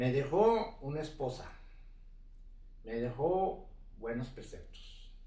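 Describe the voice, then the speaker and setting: A man's very slow delivery, broken by long, frequent pauses, with audible room echo. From northern Mexico, Ciudad Juárez. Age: 70s. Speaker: retired mountain biker. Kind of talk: life story interview.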